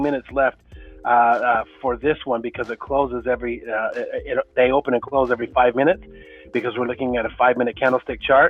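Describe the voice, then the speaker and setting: Music plays in the background. A man with a medium pitch talks at a fairly quick pace. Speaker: market analyst and trading educator. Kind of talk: live market commentary. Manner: fast; hesitant, many fillers and repetitions.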